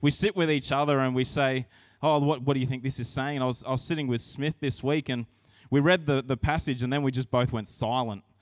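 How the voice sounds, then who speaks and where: A man with an Australian accent speaks at a fairly quick pace and a fairly high pitch, with a dry, close sound and no echo. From Australia, rural New South Wales. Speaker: pastor. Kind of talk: sermon. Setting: church. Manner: casual, conversational.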